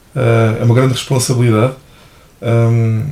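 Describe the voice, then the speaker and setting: There's noticeable background noise as a man speaks at a medium pitch with fairly even intonation. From Portugal, Ribatejo (Santarém/Almeirim). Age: 30s. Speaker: athletics coach. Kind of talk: casual interview.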